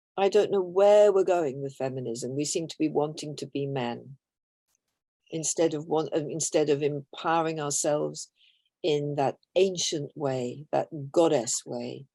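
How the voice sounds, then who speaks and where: A woman's very deep, low voice with a British accent and a dark, mellow tone in a dry, close sound with no echo. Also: ordinary pitch variation. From Britain, half Irish, half Belgian. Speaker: author. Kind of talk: interview.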